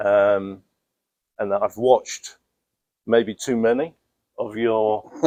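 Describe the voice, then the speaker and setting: A man with a London accent speaks at a very slow pace in a medium pitch, his dark, mellow tone and fairly even intonation broken by long, frequent pauses, all in a dry, close sound with no echo. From London, England. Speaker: student, aspiring pressure washing business owner. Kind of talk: interview. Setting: in person. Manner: hesitant, many fillers.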